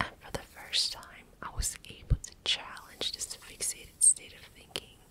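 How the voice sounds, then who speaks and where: A woman whispers at a fairly slow pace, in a calm, relaxed tone. Noticeable background noise can be heard. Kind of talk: personal story told casually to the listener. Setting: close-mic home studio ASMR recording. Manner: soft, calm, relaxed.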